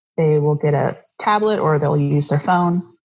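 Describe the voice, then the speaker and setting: A woman's somewhat breathy voice keeps a moderate pace, its pitch varying in an ordinary way. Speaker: surfer and artist. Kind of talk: casual interview conversation.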